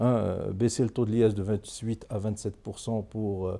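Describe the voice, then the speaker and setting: Over a quiet background, a man speaks in a fairly low pitch with a dark, mellow tone and ordinary pitch variation. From Morocco. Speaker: economist and politician; politician. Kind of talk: interview. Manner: formal. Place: studio.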